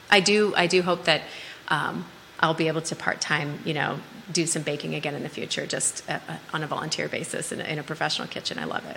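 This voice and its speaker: Against noticeable background noise, a woman with a very deep, low pitch talks at a fairly quick pace with fairly even intonation. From US Midwest, Minnesota. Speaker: health tech sales professional. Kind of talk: casual interview. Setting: live studio show. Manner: direct.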